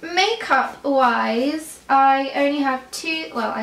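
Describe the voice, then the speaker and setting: A woman's speech comes with clear room echo and light noise behind it. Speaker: beauty vlogger. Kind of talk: casual vlog chat. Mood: relaxed, light-hearted. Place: home room.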